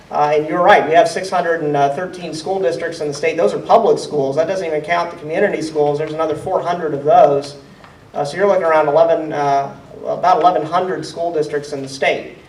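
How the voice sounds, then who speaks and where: With an American accent, a man speaks very fast at a fairly high pitch with fairly even intonation, amid noticeable background noise and audible room echo. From central Ohio. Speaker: state legislator. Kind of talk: town hall Q&A. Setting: town hall meeting.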